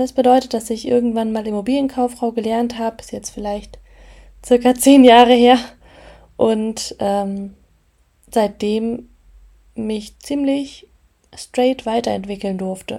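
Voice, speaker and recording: Pitched fairly high, a woman's dark, mellow voice moves at a fairly slow pace with long, frequent pauses and big swings in loudness. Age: 20s. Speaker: podcast host and property manager. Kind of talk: casual solo podcast monologue.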